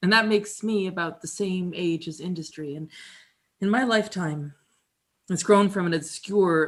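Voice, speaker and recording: A woman with a plain, everyday voice, moderate pace and ordinary pitch variation, on a very clean recording with a silent background. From Canada (Alberta). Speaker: musician and performer. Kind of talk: dramatic reading, storytelling monologue. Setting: live performance in an apartment.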